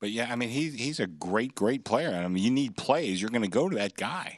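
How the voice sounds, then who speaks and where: Against a quiet background, a man with a normal speaking voice at medium pitch talks at a fairly quick pace with lively intonation. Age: 60s. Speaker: sportsbook director. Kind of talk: sports betting talk show.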